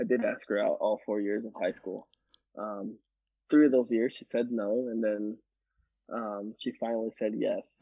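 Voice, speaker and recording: A man at a moderate pace with long, frequent pauses. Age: 30s. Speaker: landscaping crew leader. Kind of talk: casual chat. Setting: at home.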